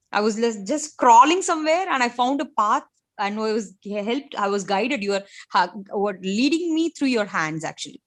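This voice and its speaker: A woman with an Indian accent talks at a moderate pace, her pitch swinging very widely. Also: fairly high pitch for a woman. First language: not English. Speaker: senior instructional designer. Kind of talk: interview testimony. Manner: halting.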